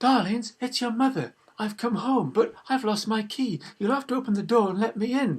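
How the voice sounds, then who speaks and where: Using a put-on character voice at a high pitch, a man talks with hardly any pauses. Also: moderate pace. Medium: read story. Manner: sly, wheedling.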